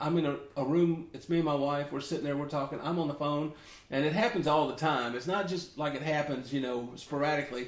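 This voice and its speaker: A man with an American accent at a very fast pace, plus audible room echo. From US South, Memphis, Tennessee. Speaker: ukulele teacher. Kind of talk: tutorial, casual chat. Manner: casual, rambling conversational.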